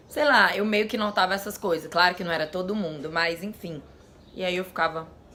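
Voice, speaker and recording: Amid noticeable background noise, a woman speaks at a medium pitch with ordinary pitch variation. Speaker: vlogger. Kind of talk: casual vlog talk.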